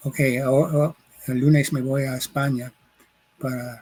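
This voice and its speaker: Speaking at a very slow pace, a man uses a medium pitch. His intonation stays fairly even. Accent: English. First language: English (speaking Spanish). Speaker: sociologist and professor. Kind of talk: interview. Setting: recording in Mexico City. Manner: halting, searching for words.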